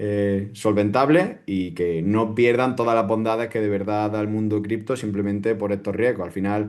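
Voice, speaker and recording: In an Andalusian accent, a man with a fairly low pitch speaks in a flat monotone over a quiet background. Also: hardly any pauses. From Andalusia, Spain. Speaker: crypto security educator. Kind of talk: interview answer.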